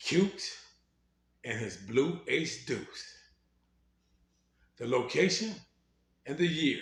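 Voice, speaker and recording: A man with an American accent and vocal fry speaks at a fairly high pitch, very slowly, with long, frequent pauses. His pitch swings very widely, and the room echo is audible. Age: 60s. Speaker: former gang member telling his life story. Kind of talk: storytelling.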